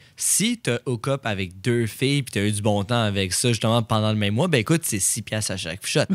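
Speaking fairly quickly with hardly any pauses, a man uses a normal speaking voice at a fairly low pitch, with ordinary pitch variation and a dry, close sound with no echo. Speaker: podcast co-host. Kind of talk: casual chat.

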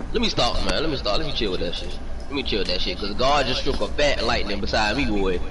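A man speaks very fast. Noticeable background noise and audible room echo surround him. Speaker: gaming streamer. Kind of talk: casual chat. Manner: animated.

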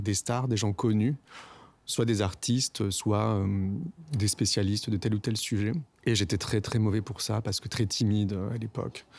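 A man's fairly low voice at a fairly slow pace, fairly even in intonation, on a very clean recording with a silent background. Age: 40s. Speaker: podcaster and former radio journalist. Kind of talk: personal testimony interview. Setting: outdoors in his garden. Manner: hesitant, many filler sounds.

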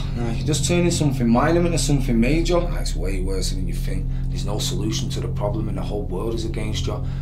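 Loud background noise sits behind a man talking. He speaks at a very fast pace with hardly any pauses. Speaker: spoken word poet. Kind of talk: spoken word poetry performance. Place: bathroom.

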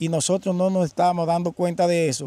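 At a moderate pace, a man's dark, mellow tone comes through as a dry sound with no echo. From Dominican Republic. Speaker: environmental inspector. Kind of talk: interview. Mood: earnest, concerned. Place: waterside. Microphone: handheld.

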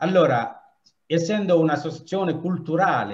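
A man is speaking. He has a non-native accent. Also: quiet background. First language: not Italian (speaking Italian). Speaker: association president. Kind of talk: welcome speech. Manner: halting. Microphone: video call.

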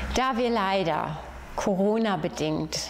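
A woman's voice over light background noise. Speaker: head of municipal youth, family and senior services. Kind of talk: community project announcement. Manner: friendly, warm. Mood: warm, friendly. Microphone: lapel.

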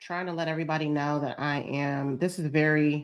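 Against a quiet background, a woman speaks with a very deep, low pitch. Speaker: lifestyle vlogger and online coach; online community host. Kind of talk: casual livestream chat. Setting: live stream. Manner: animated. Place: home room. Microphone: webcam.

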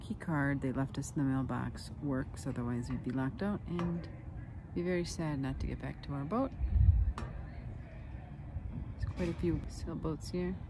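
A woman speaks at a fairly slow pace. The sound is dry with no echo, and there is noticeable background noise. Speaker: sailing vlogger. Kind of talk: casual vlog chat. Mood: calm, slightly anxious. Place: waterside. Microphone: phone near.

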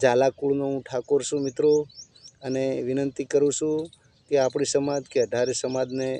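In a dry, close sound with no echo, a man talks with monotone, flat intonation. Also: fairly high pitch for a man. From India, Gujarat (Banaskantha, Kankrej). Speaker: villager giving a devotional and political talk. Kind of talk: informal monologue to camera.

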